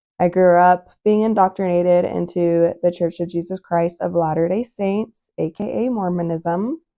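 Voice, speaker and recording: A woman with an American accent and a normal speaking voice talks at a moderate pace with hardly any pauses, fairly even intonation and a fairly low pitch. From US West, Utah (South Jordan). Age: 30s. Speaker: podcaster. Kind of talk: personal monologue. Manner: casual, many fillers.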